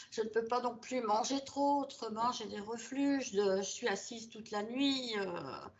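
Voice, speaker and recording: Audible room echo surrounds a woman whose fairly high voice moves at a fairly slow pace with hardly any pauses and fairly even intonation. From Belgium. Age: 70s. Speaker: hypnosis session client. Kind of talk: personal testimony. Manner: hesitant, many filler sounds.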